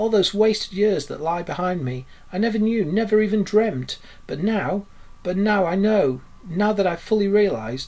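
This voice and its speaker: A man puts on a character voice pitched high, talking at a moderate pace broken by long, frequent pauses. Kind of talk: rapt, wistful.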